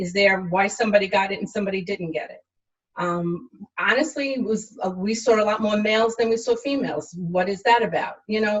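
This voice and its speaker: At a fairly quick pace, a woman speaks in a normal speaking voice at medium pitch with ordinary pitch variation. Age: 60s. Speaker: healthcare worker. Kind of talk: interview. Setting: livestream.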